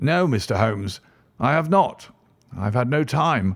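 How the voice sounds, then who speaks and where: Doing a put-on character voice, a man speaks raspily at a medium pitch and a moderate pace, with very wide pitch swings, on a very clean recording with a silent background. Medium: read story.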